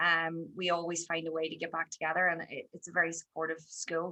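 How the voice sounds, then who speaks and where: A woman talks at a fairly quick pace in an Irish accent. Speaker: teacher and podcaster. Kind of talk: podcast interview.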